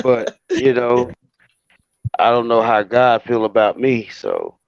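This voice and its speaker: Heard dry and close with no echo, a man with an American accent speaks at a very slow pace. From Florida. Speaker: podcast guest. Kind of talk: casual chat.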